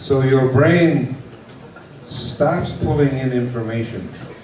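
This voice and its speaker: Noticeable background noise and audible room echo surround this man. He speaks at a medium pitch with fairly even intonation. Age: 60s. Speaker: English teacher. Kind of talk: lecture. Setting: large class with an interpreter. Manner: slow, simple phrasing with repetition.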